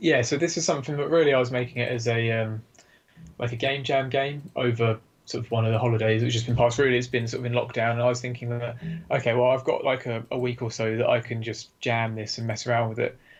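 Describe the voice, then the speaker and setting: Very fast, somewhat breathy speech in an English accent, with fairly even intonation. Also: man, medium pitch for a man. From UK. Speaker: game developer. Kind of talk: casual chat.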